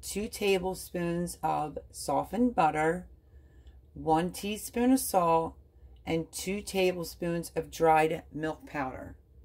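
A woman speaks at a very slow pace. Her fairly low voice has ordinary pitch variation. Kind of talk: tutorial. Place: kitchen. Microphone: phone near.

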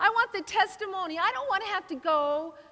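The voice is raised and projected. It keeps a moderate pace. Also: woman. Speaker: guest preacher. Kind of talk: sermon. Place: church.

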